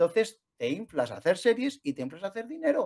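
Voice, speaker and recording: His pitch swings very widely as the man talks at a moderate pace. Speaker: youtube channel co-host. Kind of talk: casual chat.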